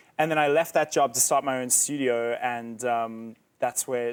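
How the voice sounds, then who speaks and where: Recorded very cleanly against a silent background, a man speaks at a moderate pace and medium pitch with fairly even intonation. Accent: South African. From South Africa. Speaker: musician and band founder. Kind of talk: interview. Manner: hesitant, many fillers.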